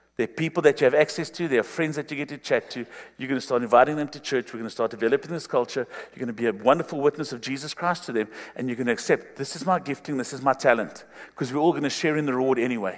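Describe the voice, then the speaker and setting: The delivery is animated and very fast, with ordinary pitch variation. Loudness swings widely from moment to moment. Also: man, fairly high pitch for a man. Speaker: pastor. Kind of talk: sermon.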